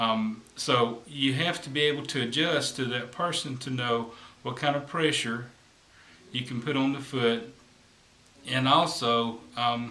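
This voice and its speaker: In a room with audible echo, a man speaks fairly slowly with fairly even intonation. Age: 50s. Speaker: massage therapist; massage therapist instructor. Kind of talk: tutorial. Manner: hesitant, with fillers. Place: home room. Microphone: camera far.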